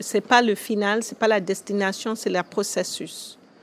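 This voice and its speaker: The recording is very clean, with a silent background. A woman with a fairly high pitch speaks at a fairly slow pace. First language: English (speaking French). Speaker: school founder. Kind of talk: interview. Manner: hesitant, many fillers.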